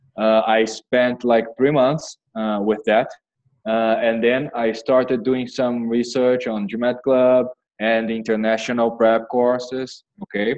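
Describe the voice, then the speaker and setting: With a Brazilian Portuguese accent, a man speaks very slowly at a medium pitch in a monotone, flat intonation. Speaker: MBA applicant. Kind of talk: interview. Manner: halting.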